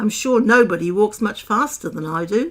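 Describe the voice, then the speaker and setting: A woman's raspy, put-on character voice at medium pitch and a moderate pace. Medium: read story. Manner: sulky.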